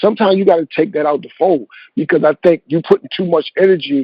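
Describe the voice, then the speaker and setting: This man has an ordinary speaking voice with a fairly high pitch and an American accent. He speaks at a fairly quick pace with ordinary pitch variation. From Eastern Shore of Maryland. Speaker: music executive. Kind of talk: interview answer, advice. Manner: casual, conversational.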